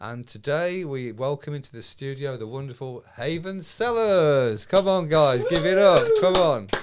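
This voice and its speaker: With music playing in the background, a man speaks at a moderate pace in a fairly high pitch, his intonation lively, his loudness swinging widely, and hardly any pauses. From England, Birmingham. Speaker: podcast host. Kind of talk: casual interview. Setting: studio.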